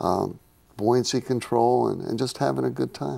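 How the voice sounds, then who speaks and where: A man's dark, mellow, fairly low voice at a moderate pace, on a very clean recording with a silent background. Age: 60s. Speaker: scuba diving instructor. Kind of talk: studio interview. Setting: studio. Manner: halting, repeats words.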